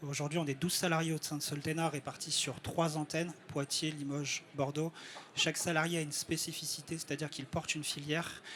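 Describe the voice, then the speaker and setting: A man's fairly high voice at a fairly quick pace, monotone and flat in intonation. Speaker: network coordinator presenting at a trade summit. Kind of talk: live presentation to an audience. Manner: halting, frequent hesitations.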